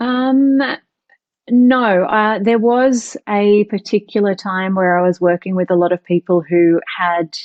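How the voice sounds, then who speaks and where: At a fairly slow pace, a woman with an Australian accent speaks at a medium pitch, with ordinary pitch variation and very even loudness. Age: 40s. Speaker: author and emotional intelligence teacher. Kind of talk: podcast interview.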